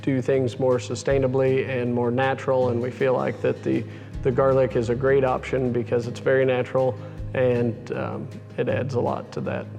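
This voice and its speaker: Over background music, a man of medium pitch talks at a moderate pace with monotone, flat intonation. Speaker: cattle rancher, managing partner of seed stock operation. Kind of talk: interview answer.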